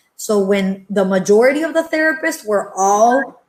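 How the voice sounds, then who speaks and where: A woman speaks at a moderate pace with a Spanish accent. Her voice is fairly high and somewhat breathy. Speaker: entrepreneur and pediatric therapist. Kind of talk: panel discussion.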